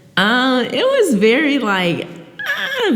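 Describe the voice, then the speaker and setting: A woman speaks with an American accent. Audible room echo and noticeable background noise fill the recording. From Philadelphia. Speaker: spoken word poet. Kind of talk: podcast interview. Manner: halting, many fillers.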